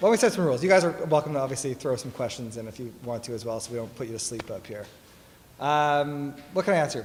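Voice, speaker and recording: With a Canadian accent and lively intonation, a man talks at a very fast pace in a fairly high voice, his loudness swinging widely amid audible room echo. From Toronto, Canada. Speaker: tech company executive. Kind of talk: fireside chat interview. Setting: stage with audience.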